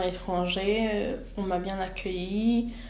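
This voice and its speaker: A woman's medium pitch in monotone, flat intonation, with noticeable background noise and audible room echo. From Burundi. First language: Kirundi (speaking French). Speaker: student, asylum seeker. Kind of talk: interview. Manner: halting, many hesitations.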